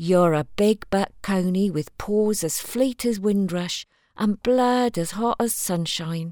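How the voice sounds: This is a natural reading voice. It carries ordinary pitch variation.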